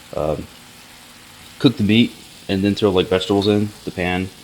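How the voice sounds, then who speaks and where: A man with a fairly low voice talks at a fairly quick pace against noticeable background noise. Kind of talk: casual vlog talk to camera. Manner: casual, rambling.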